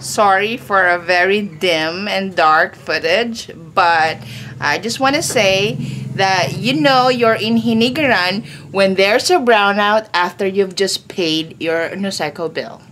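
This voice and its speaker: A woman with lively intonation speaks at a fairly slow pace over light background noise. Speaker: home vlogger. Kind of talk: casual vlog chat. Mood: cheerful, amused. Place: home room. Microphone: phone near.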